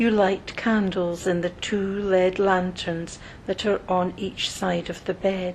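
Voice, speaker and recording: In a calm tone, a woman with a medium-pitched voice speaks very slowly and in a flat monotone, with noticeable background noise behind her. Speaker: meditation guide. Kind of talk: guided meditation. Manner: calm, slow.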